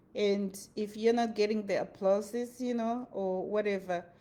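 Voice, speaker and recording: With a Zimbabwean accent, a woman talks at a fairly slow pace. Her pitch is fairly high. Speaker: motivational vlogger. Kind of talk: motivational talk. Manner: animated.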